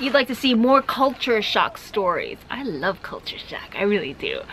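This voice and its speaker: Behind this woman's speech there is noticeable background noise. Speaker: travel vlogger. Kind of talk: casual chat reading viewer comments. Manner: fast.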